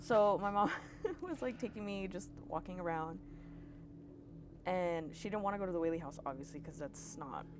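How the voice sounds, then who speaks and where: Noticeable background noise and audible room echo surround a woman with a fairly low pitch and an animated tone, who speaks at a moderate pace with ordinary pitch variation and long, frequent pauses. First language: Spanish. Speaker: podcast guest storyteller. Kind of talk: casual storytelling chat.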